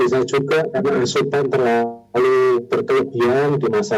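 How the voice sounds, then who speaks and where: With music in the background, a man speaks at a fairly high pitch. His voice makes very wide pitch swings. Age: 60s. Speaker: hypnotherapist sharing on a radio talk. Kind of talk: radio talk show discussion. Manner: hesitant, many fillers.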